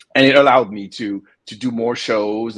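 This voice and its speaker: A man with fairly low pitch and fairly even intonation. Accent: French. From France, Paris. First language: French. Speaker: comic book publisher and artist. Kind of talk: interview. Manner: halting, many repetitions.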